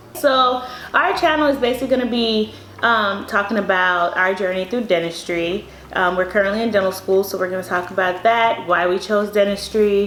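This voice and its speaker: A woman talks at a moderate pace. The room echo is audible and background noise is noticeable. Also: medium pitch for a woman, ordinary pitch variation. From Miami, Bahamian family. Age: 20s. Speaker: dental student. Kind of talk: casual chat.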